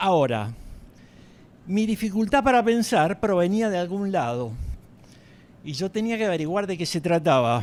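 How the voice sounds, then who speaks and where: A man speaks at a moderate pace in a high pitch with very wide pitch swings. His delivery has long, frequent pauses. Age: 70s. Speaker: audience member. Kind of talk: audience comment.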